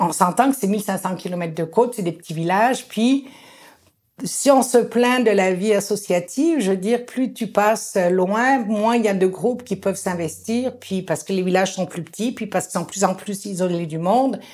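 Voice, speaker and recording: In a very clean recording with a silent background, a woman talks at a moderate pace. Her pitch is medium, and she has a plain, everyday voice. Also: ordinary pitch variation. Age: 60s. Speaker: community organizer. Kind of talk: interview.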